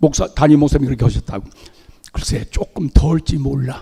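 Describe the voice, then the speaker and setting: A man with a fairly high pitch speaks in a somewhat breathy voice with a dark, mellow tone. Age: 80s+. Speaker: visiting pastor. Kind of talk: sermon. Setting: church.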